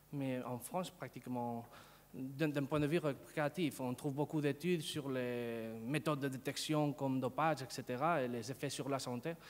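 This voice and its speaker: Speaking with a Spanish accent, a man uses a medium pitch, a moderate pace and fairly even intonation. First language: Spanish (speaking French). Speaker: sociology professor. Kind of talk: conference talk. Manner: halting, many hesitations and repetitions.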